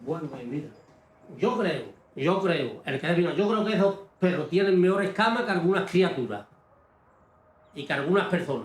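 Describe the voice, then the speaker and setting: In a room with audible echo, a man speaks at a moderate pace in a high voice, with ordinary pitch variation and long, frequent pauses. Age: 60s. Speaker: galgo hunter and breeder. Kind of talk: documentary interview. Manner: animated.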